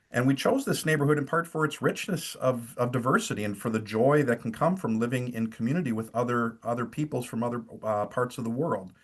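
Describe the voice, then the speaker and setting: With a Wisconsin accent, a man talks at a fairly quick pace. His pitch sits in the medium range. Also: ordinary pitch variation. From rural eastern Wisconsin, near Fond du Lac. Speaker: pastor. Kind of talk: webinar talk. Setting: video call from home. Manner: hesitant, many fillers.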